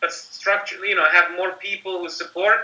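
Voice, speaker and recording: A man's raised, projected voice, high in pitch, at a moderate pace. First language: not English. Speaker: company marketing executive. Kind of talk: interview. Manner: animated.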